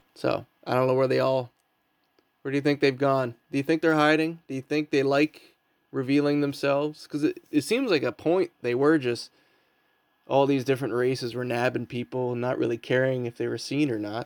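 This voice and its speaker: A man in an ordinary speaking voice talks at medium pitch and a fairly quick pace with fairly even intonation, in a dry, close sound with no echo on a very clean recording with a silent background. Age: 30s. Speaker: podcast host and comedian. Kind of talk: casual chat. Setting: home basement.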